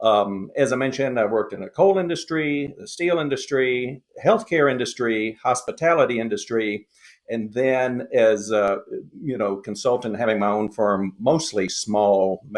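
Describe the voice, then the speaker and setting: Medium-pitched man with a Southern US accent, lively intonation, moderate pace and a quiet background. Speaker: lean consultant. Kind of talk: podcast interview. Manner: halting, many fillers.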